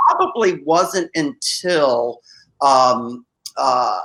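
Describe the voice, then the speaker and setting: With lively intonation, a man is speaking. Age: 60s. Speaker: corporate communications executive. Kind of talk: podcast interview. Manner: halting, many fillers.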